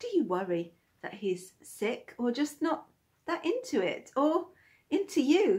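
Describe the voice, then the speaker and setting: With a British accent, a woman speaks in a playful tone with very wide pitch swings. The background is quiet. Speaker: poet and video creator. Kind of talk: spoken word poem, rhyming and cheeky. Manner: playful, tongue-in-cheek, rhythmic. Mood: playful, cheeky. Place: home room. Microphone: phone near.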